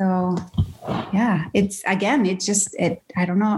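On a very clean recording with a silent background, a woman with a Spanish accent speaks fairly slowly in a somewhat breathy, monotone, flat voice. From Venezuela (Caracas). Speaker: creative director. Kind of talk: interview conversation. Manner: halting, with repeated words.

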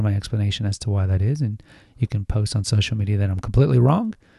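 A man's calm, somewhat breathy voice, fairly low in pitch with a dark, mellow tone, in a dry, close sound with no echo against a quiet background. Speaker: podcast host on essential oils and herbalism. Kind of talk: solo educational monologue.

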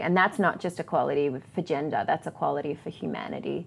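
Speaking at a fairly quick pace in a normal speaking voice, a woman shows ordinary pitch variation on a very clean recording with a silent background. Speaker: church leader and speaker.

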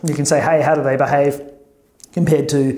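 With an Australian accent, a man talks at a fairly high pitch in a flat, monotone delivery. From Melbourne, Australia. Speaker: tech executive and academic. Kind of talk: interview.

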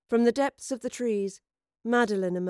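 An unforced reading voice, with ordinary pitch variation, comes through over a quiet background.

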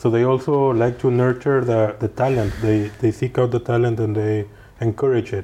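A man's medium-pitched voice with a Spanish accent, dark and mellow in tone, at a moderate pace, with very even loudness and flat, monotone intonation. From Mexico. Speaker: podcast host. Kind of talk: interview.

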